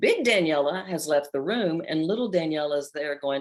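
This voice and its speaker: A woman with an American accent uses a normal speaking voice, lively intonation, and a moderate pace. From US South. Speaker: life coach. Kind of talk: live coaching session. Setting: video call.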